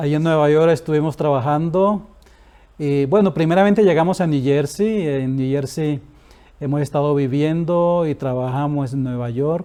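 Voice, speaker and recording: At a moderate pace, a man speaks with a dark, mellow tone. His voice is fairly high, with ordinary pitch variation. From Colombia, Santa Marta (Caribbean coast). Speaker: retired pastor. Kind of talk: interview.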